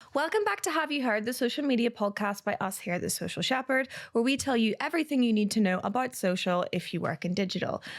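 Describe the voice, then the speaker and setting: Lively intonation marks this woman's speech. She talks very fast in a Northern Irish accent. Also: fairly high pitch for a woman, hardly any pauses. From Northern Ireland. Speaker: podcast host and company CEO. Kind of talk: casual podcast chat.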